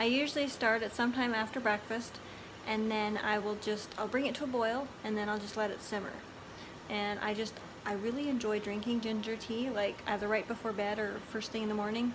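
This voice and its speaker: A soft-spoken woman talks at a fairly quick pace with monotone, flat intonation. Noticeable background noise and audible room echo surround her. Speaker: lifestyle vlogger. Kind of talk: casual vlog chat. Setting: indoors at home.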